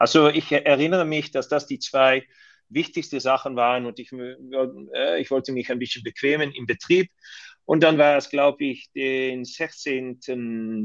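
With a fairly high pitch and fairly even intonation, a man talks at a fairly slow pace, his loudness swinging widely against a quiet background. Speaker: hotel company managing director. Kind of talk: interview. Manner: halting.

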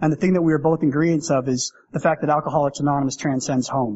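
A man with fairly high pitch and fairly even intonation at a very fast pace. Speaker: AA speaker. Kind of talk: testimony. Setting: stage with audience. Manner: fast talker.

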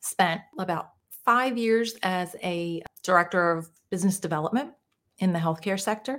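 A woman speaks with an American accent. Her pitch is medium. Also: ordinary pitch variation, moderate pace. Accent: Jersey-Philly. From New Jersey, US. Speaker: mindset coach. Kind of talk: casual interview chat.

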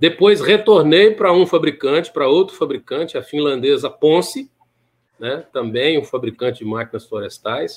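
At a moderate pace, a man with a fairly high pitch uses lively intonation in a plain, everyday voice. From Minas Gerais, Brazil. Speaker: maintenance engineering manager and professor. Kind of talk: interview.

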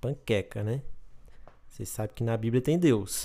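In a very clean recording with a silent background, a man speaks with a dark, mellow tone. His medium pitch holds fairly even intonation at a moderate pace. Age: 20s. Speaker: podcast host. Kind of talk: casual solo monologue.

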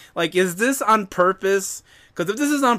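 A man's raised, projected voice, bright and sharp in tone, with lively intonation. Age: 40s. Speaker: podcast co-host and producer. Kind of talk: casual chat. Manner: animated.

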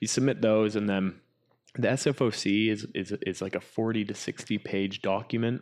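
Against a quiet background, this is a plain, everyday voice with a Canadian accent. The intonation is fairly even and the pace moderate. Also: man, fairly low pitch for a man. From Canada, Whistler BC. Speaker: drone pilot and cinematographer. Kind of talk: interview.

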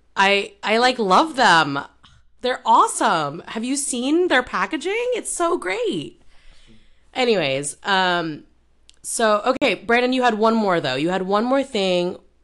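A woman's fairly high voice at a fairly slow pace, with very wide pitch swings, over a quiet background. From Indonesia. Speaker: podcast host. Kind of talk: casual chat.

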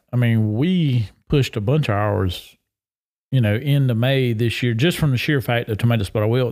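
A man with a Southern US accent at a moderate pace, on a very clean recording with a silent background. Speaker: agricultural extension specialist. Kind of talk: casual chat. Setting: on location at a state park.

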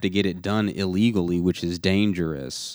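The recording is very clean, with a silent background. A man with an American accent speaks at a fairly low pitch with ordinary pitch variation. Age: 20s. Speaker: podcast host and musician. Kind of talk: casual chat. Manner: even-keeled.

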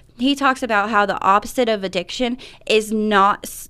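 With an American accent, a woman speaks at a medium pitch in a bright, sharp tone with ordinary pitch variation, captured in a very clean recording with a silent background. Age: 30s. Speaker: recovery program coordinator. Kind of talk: radio interview. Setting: radio studio.

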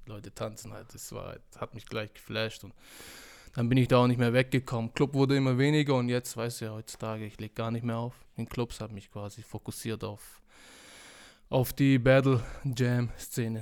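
A man mumbles his words. His intonation is monotone and flat. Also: medium pitch for a man, moderate pace, big swings in loudness, very clean recording, silent background. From Stuttgart area, Swabia. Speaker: DJ. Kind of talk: casual chat. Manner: mumbling, indistinct.

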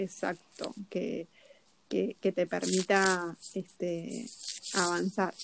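A woman at a medium pitch with a Rioplatense accent, fairly even intonation and a very slow pace. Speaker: podcast co-host, personal development coach. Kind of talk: casual chat. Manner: halting, many repetitions.

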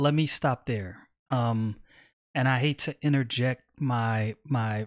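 An unremarkable speaking voice with an American accent and fairly even intonation, in a dry, close sound with no echo. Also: man. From New York, Brooklyn. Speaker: political podcaster, military veteran. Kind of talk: political commentary podcast.

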